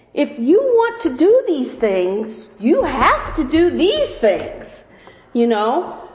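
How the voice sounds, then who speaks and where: A woman with an American accent speaks very slowly at a high pitch, her pitch swinging very widely. Her loudness stays very even over noticeable background noise. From US Midwest, Alton area (Illinois). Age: 50s. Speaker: church member giving testimony. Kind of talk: testimony.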